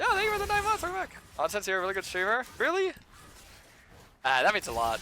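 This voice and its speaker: A man speaks at a very fast pace with music in the background. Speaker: game streamer. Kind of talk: live gameplay commentary with chat. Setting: live stream. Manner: hesitant, many fillers and repetitions.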